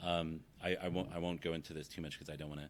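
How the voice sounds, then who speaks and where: A man with a very deep, low pitch, talking at a moderate pace. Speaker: academic researcher. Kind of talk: conference talk. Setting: presentation with audience. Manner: halting, many fillers.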